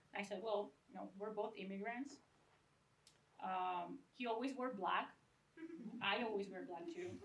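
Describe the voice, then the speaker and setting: A woman in a Venezuelan accent at medium pitch, fairly slow pace with long, frequent pauses, ordinary pitch variation and audible room echo. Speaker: book designer and educator. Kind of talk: lecture. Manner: casual, joking.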